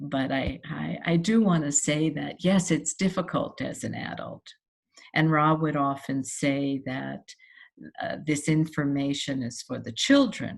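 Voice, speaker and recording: Speaking at a fairly slow pace, a woman has a very deep, low pitch with vocal fry and ordinary pitch variation. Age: 70s. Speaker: human design practitioner. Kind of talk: personal monologue to camera. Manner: halting, many fillers.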